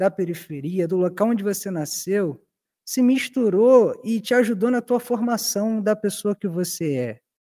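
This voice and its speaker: A man's high-pitched voice, dark and mellow in tone, moves with lively intonation. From Rio de Janeiro, West Zone. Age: 20s. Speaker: podcast host. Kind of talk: casual chat.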